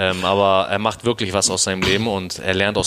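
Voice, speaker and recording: With fairly even intonation, a man talks in a fairly low pitch. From Hamburg, northern Germany. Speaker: personal trainer. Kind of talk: casual interview. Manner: colloquial, filler-heavy.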